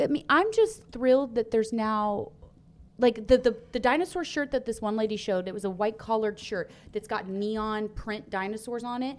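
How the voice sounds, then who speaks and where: Speaking at a moderate pace in a Texan accent, a woman uses a fairly high pitch with ordinary pitch variation. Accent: Texan twang. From Texas. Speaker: co-host. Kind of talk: casual chat. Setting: studio.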